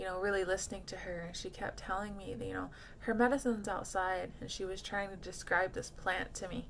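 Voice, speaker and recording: Fairly quick speech with vocal fry and audible room echo. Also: woman, medium pitch for a woman, ordinary pitch variation. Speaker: Native cultural teacher and speaker. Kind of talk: personal testimony. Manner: halting, many fillers.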